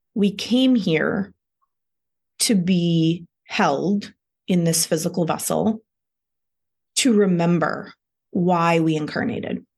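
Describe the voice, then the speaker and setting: A woman speaks very slowly at a fairly low pitch in a calm, soothing, somewhat breathy tone with ordinary pitch variation. Her loudness stays very even, and she leaves long, frequent pauses. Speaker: lifestyle guide and meditation teacher. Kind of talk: guided meditation. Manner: slow, calm, soothing, with gentle pauses; soft-spoken and meditative.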